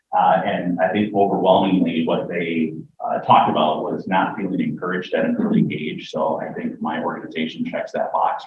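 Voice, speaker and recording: A man speaks fairly quickly, with audible echo from the room around him. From rural Wisconsin. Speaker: nonprofit founder and director. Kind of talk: pitch presentation.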